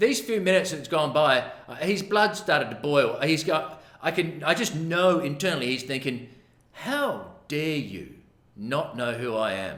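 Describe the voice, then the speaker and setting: A man with an Australian accent speaks animatedly at a moderate pace, his high pitch moving in very wide swings, with audible room echo and noticeable background noise. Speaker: massage therapist. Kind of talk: storytelling. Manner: casual, animated.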